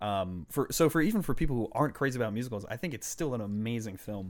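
Talking at a very fast pace with lively intonation, a man comes through on a very clean recording with a silent background. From Boston, Massachusetts (Puerto Rican family). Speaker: podcast guest. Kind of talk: casual chat.

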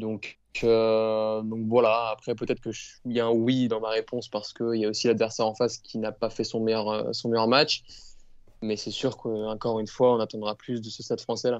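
A man's monotone, flat voice at a medium pitch. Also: moderate pace. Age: young. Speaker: rugby fan podcast co-host. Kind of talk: casual chat.

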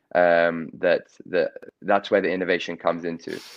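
With an English accent, a man speaks at a very deep, low pitch. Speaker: corporate innovator and entrepreneur. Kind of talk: interview. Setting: live video stream.

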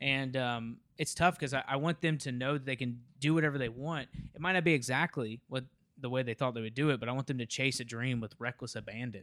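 An unremarkable speaking voice with an American accent moves at a fairly quick pace with fairly even intonation, on a very clean recording with a silent background. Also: man, medium pitch for a man. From Memphis, Tennessee (US South). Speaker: Marine veteran, social media creator. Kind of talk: casual interview chat.

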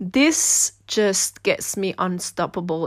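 A woman's medium-pitched voice with a Swiss German accent. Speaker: podcaster and dancer. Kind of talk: personal monologue. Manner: casual, with fillers and hesitations.

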